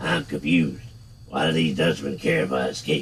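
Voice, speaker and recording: With clear background noise, a man does a raspy put-on character voice at a very deep, low pitch, with ordinary pitch variation and a moderate pace. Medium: game stream. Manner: calm, terse, questioning.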